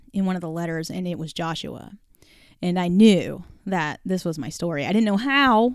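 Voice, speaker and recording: A woman with an unremarkable speaking voice talks at a moderate pace, fairly low in pitch with ordinary pitch variation. The recording is very clean, with a silent background. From California, San Jose. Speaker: author. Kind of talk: interview testimony.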